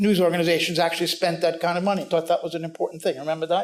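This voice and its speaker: A man with a New York accent and a high pitch. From New York City. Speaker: news editor. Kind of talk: panel talk. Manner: fast.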